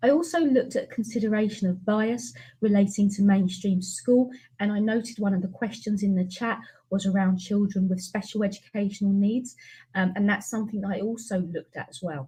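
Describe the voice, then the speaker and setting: A woman with a British accent speaks at a fairly quick pace in a dark, mellow, somewhat breathy voice of medium pitch. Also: ordinary pitch variation. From UK. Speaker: education researcher and teacher. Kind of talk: webinar presentation. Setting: online webinar.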